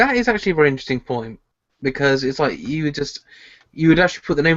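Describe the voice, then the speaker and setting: The sound is close and dry, with no echo. The man talks in a British accent. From Britain. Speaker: podcast co-host. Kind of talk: casual chat.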